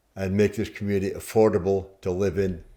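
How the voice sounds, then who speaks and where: A man speaks with a fairly low pitch and a dark, mellow tone. The recording is very clean, with a silent background. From Scotland. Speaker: mayor, election candidate. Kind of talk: interview. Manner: loud.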